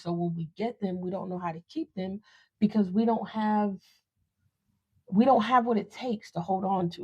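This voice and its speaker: A woman of medium pitch sounds somewhat breathy, speaking at a moderate pace with fairly even intonation. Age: 30s. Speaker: podcast host. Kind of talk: personal storytelling podcast monologue. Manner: casual, conversational.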